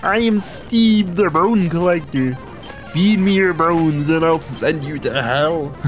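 Over clear music in the background, a put-on character voice comes out strained and raspy at a fairly slow pace. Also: woman, fairly low pitch for a woman. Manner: menacing.

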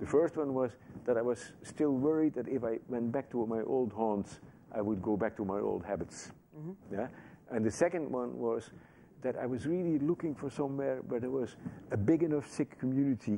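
Over light background noise, a man speaks in a medium pitch with a Dutch accent. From Netherlands. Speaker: Sikh activist and former chaplain. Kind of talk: interview answer. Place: studio.

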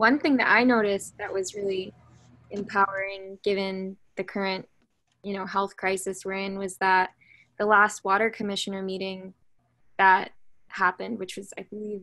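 A woman's medium-pitched voice with little pitch movement, a fairly bright tone and a moderate pace

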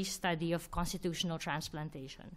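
A woman is speaking. Her pace is very fast. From Philippines. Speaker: legal scholar and author. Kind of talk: Q&A answers; book talk lecture. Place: hall. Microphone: podium.

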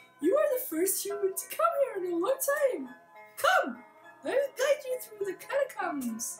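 A put-on character voice at an extremely high pitch swings very widely in pitch at a moderate pace, with clear music in the background. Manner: kindly, welcoming.

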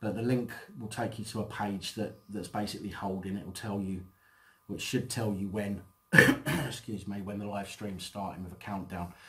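A man with a plain, everyday voice speaks at a fairly low pitch, his intonation fairly even. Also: moderate pace. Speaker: channel host. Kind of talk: casual vlog chat. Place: home room.

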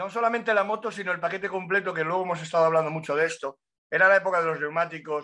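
A man at a very fast pace, high pitch and fairly even intonation, with a bright, sharp tone. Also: quiet background. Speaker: motorcycle racing pundit. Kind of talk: casual chat. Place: home room. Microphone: webcam.

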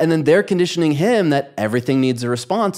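Nothing much can be heard in the background. The speaker goes at a very fast pace. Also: man. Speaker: podcast host and coach; podcast host, coach. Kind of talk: podcast interview. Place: studio. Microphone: studio mic.

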